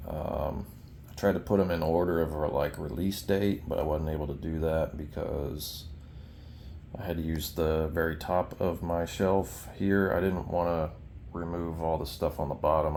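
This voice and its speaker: In a room with audible echo, a man speaks with a very deep, low pitch and fairly even intonation. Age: 30s. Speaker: collector showing his collection. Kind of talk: casual show-and-tell video. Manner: hesitant, many fillers.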